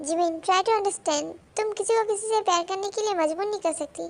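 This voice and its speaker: In a put-on character voice, a woman talks at a very fast pace and an extremely high pitch. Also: ordinary pitch variation. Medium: read story. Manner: blunt, contrary.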